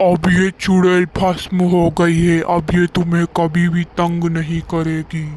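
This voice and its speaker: A cartoonish character voice at a fairly slow pace, with very even loudness and monotone, flat intonation. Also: man, high pitch for a man. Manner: firm, authoritative.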